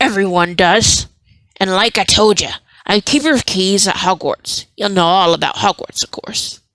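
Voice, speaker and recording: A woman uses a put-on, booming character voice at medium pitch. She speaks at a moderate pace. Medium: read story. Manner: gruff, folksy.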